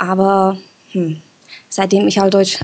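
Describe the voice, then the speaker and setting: Against noticeable background noise, a woman with a Czech accent speaks at a medium pitch. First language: Czech (speaking German). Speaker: listener interviewed on a podcast. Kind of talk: casual interview.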